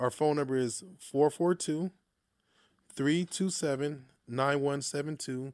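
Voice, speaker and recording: A man's fairly high-pitched, fairly slow delivery in an ordinary speaking voice, with fairly even intonation and a dry, close sound with no echo. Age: young. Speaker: social services business owner. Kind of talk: interview. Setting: studio.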